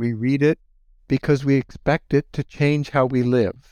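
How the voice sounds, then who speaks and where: Speaking at a moderate pace, a man talks with an American accent. The sound is dry and close with no echo, against a quiet background. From US Midwest, Holmes County, Ohio. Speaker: history professor. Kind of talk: interview. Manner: halting.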